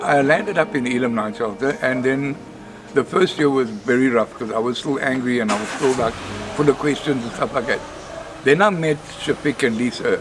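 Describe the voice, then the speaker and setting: A man talks at a medium pitch with ordinary pitch variation. Noticeable background noise sits behind him. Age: 60s. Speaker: night shelter resident. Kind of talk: testimony.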